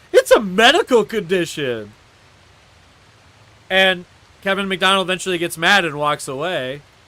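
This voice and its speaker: With a high pitch and a bright, sharp, animated tone, a man uses a raised, projected voice at a moderate pace, with ordinary pitch variation and long, frequent pauses. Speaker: live streamer. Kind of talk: casual monologue.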